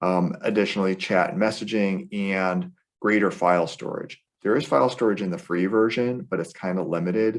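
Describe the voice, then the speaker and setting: With ordinary pitch variation, an unremarkable speaking voice delivers its words at a fairly quick pace. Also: man, fairly low pitch for a man. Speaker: tech trainer. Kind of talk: webinar tutorial.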